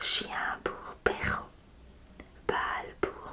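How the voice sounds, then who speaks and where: With noticeable background noise behind her, a woman whispers. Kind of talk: whispered literary reading of a short story. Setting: ASMR audio recording. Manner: whispered, soft.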